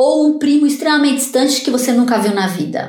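A woman speaks in a somewhat breathy voice with ordinary pitch variation. Audible room echo can be heard. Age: 50s. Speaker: neuroscientist. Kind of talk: interview.

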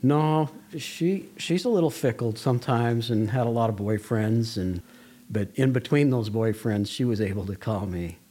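With an American accent, a man talks at a moderate pace and medium pitch. His tone is dark and mellow, his intonation lively. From Las Vegas, Nevada. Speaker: school director. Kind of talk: interview testimony.

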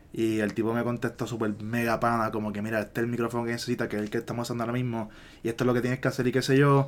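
A man with a Puerto Rican accent and medium pitch rushes along at a very fast pace in a flat monotone. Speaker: podcast co-host. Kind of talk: casual chat.

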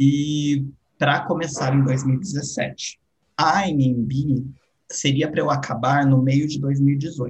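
A man talks at a very slow pace and a fairly high pitch, somewhat breathy, with monotone, flat intonation. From Brazil, São Paulo state interior. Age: 20s. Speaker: international relations graduate and art educator. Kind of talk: casual interview chat.

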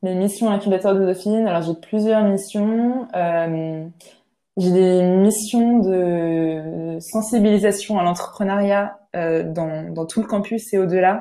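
A woman speaks very slowly in a dark, mellow tone at a medium pitch, her intonation fairly even. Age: 20s. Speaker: business student and startup manager. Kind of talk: podcast interview testimony. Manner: hesitant, many fillers and repetitions.

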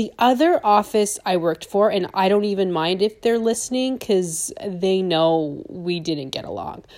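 A woman with an ordinary speaking voice talks at a medium pitch and a fairly slow pace, with lively intonation and hardly any pauses. The recording is very clean, with a silent background. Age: 30s. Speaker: dental hygienist and business owner podcaster. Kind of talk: casual monologue.

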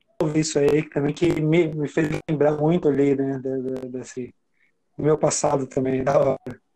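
A man's dark, mellow tone at a fairly high pitch, monotone and flat, at a fairly slow pace with long, frequent pauses. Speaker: podcast co-host. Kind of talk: casual chat.

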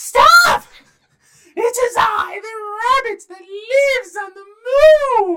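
An extremely high, put-on character voice. It speaks at a very slow pace. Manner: proclaiming, commanding.

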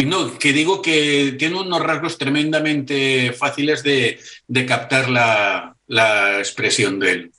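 A man speaks very slowly with hardly any pauses, his fairly high voice bright and sharp, his intonation lively and his loudness very even. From Barcelona, Spain. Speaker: Star Trek fan and artist. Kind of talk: casual interview. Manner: halting with repetitions.

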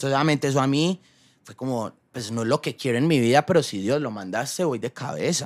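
Talking at a very fast pace, a man shows ordinary pitch variation and big swings in loudness in a dry, close sound with no echo. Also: medium pitch for a man. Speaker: YouTuber and actor. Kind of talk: casual interview.

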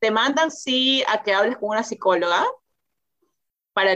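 Ordinary pitch variation from a woman, at a moderate pace. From Peru. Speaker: interview guest, new mother. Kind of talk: casual interview. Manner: hesitant, many repetitions and fillers.

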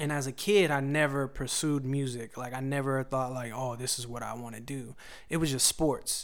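A man speaks at a moderate pace in a normal speaking voice. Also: medium pitch for a man. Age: 30s. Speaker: songwriter and music producer. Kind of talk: casual chat.

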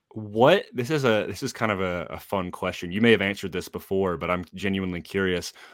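A man's fairly low voice at a fairly quick pace with hardly any pauses and ordinary pitch variation, on a very clean recording with a silent background. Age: 20s. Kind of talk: casual chat. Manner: halting, many fillers.

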